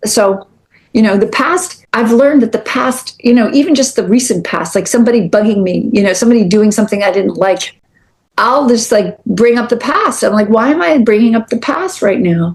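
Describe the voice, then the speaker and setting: A somewhat breathy woman's voice, fairly high in pitch, with ordinary pitch variation and a moderate pace. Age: 60s. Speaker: prison reform nonprofit founder. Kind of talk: podcast interview. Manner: animated.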